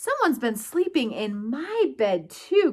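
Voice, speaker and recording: A woman does a growling put-on character voice, high in pitch with very wide pitch swings. She speaks at a fairly slow pace. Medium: read story.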